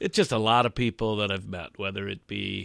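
In a plain, everyday voice, a man with a fairly low pitch speaks at a moderate pace with fairly even intonation, on a very clean recording with a silent background. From Michigan. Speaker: high school teacher. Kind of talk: casual interview.

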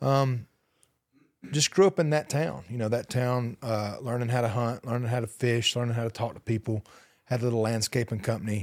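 There is a man talking with a Southern US accent at a fairly quick pace. The recording is very clean and the background silent. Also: medium pitch for a man, ordinary pitch variation. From US South, rural Alabama. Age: 40s. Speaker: country singer. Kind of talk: interview.

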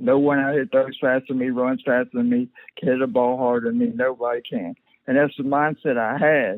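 A man with a Southern US accent, at a fairly quick pace. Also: medium pitch for a man, ordinary pitch variation. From US South, rural southern Mississippi. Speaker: paralyzed former baseball player. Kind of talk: interview, personal story.

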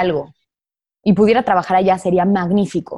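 A woman speaks in a Mexican accent at a medium pitch with a dark, mellow tone. The recording is very clean, with a silent background. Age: 20s. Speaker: actress. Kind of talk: casual interview.

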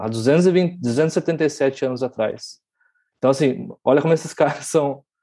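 Against a quiet background, a man with a dark, mellow tone and a fairly high pitch speaks very slowly with ordinary pitch variation. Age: 30s. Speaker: crypto writer. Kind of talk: casual chat. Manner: halting.

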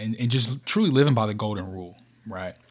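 In a very clean recording with a silent background, a man of medium pitch speaks at a fairly quick pace. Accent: Kentucky. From rural Kentucky, US South. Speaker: podcast host, leadership speaker. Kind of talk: solo motivational podcast monologue.

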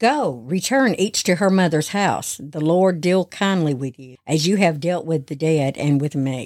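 A woman's plain, everyday voice, fairly low in pitch with lively intonation, in a very clean recording with a silent background. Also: big swings in loudness. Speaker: helper voicing Naomi in audio drama. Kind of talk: scripture reading, dramatized character dialogue.

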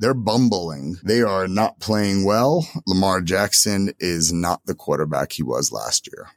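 A plain, everyday voice at a fairly slow pace, lively intonation and hardly any pauses. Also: man, fairly low pitch for a man, dry, close sound with no echo. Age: 40s. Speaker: sports podcast co-host. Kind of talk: casual chat.

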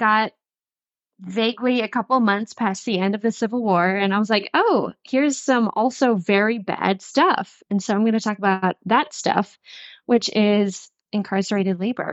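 With an American accent, a woman has a normal speaking voice, fairly high in pitch with ordinary pitch variation, at a moderate pace. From Western North Carolina. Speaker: podcast co-host. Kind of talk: casual chat.

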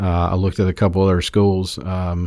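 At a moderate pace, a dark, mellow tone moves little in pitch on a very clean recording with a silent background. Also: man.

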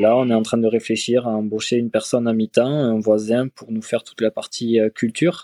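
A man's dark, mellow tone at a medium pitch, monotone and flat, with a dry, close sound and no echo. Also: fairly quick pace, hardly any pauses. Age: 20s. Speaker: duck farmer. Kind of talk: interview.

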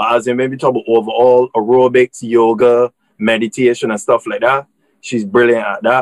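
A man talks at a fairly quick pace with a medium pitch. His intonation is monotone and flat, and the sound is dry and close with no echo. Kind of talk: casual interview. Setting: video call.

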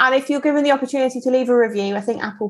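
A woman with a slight Devon accent speaks with ordinary pitch variation. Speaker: podcast co-host. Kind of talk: casual chat.

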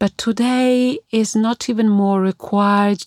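Recorded very cleanly with a silent background and a dry, close sound with no echo, a woman with an Italian accent speaks at a very slow pace with ordinary pitch variation. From Italy. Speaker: opera singer. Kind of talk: interview.

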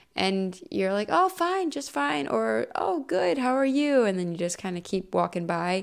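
A woman with an American accent talks at a fairly slow pace, her pitch swinging very widely. She leaves hardly any pauses. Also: medium pitch for a woman. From Ohio, US Midwest. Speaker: podcast host. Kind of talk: casual monologue.

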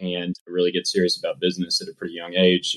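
The sound is dry and close, with no echo. The speaker is a man. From US Midwest, Kansas. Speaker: robotics entrepreneur. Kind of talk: interview. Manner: casual, with fillers.

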